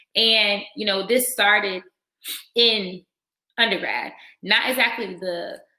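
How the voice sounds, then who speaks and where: A woman with an American accent speaks very slowly at a fairly high pitch, in a bright, sharp tone. Long pauses come often. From Virginia, Norfolk area. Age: 20s. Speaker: dental student and nonprofit founder. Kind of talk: workshop talk. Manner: casual, with many fillers.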